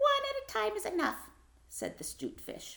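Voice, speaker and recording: The voice is a squeaky put-on character voice. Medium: read story. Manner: sly, wheedling.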